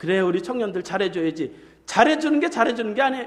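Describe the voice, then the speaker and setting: Very wide pitch swings from a man, with audible room echo. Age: 50s. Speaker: pastor. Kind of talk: sermon.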